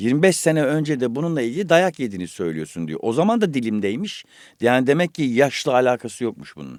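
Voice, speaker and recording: A man at a fairly quick pace, his pitch swinging very widely. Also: medium pitch for a man, very clean recording, silent background. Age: 50s. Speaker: voice actor and podcast host. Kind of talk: casual chat. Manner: animated.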